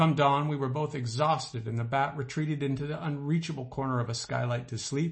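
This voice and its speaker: At a fairly quick pace, a man talks in an animated tone, somewhat breathy, at a medium pitch. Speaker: author reading own essay. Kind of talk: literary audiobook reading of a comic personal essay, wry and storytelling. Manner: animated, dry-humored, mock-heroic delivery; measured, expressive narration with comic timing.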